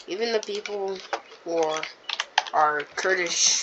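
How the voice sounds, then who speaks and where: Quiet speech at a fairly slow pace over noticeable background noise. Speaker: mapping video narrator. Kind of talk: casual commentary over map. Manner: halting, many fillers.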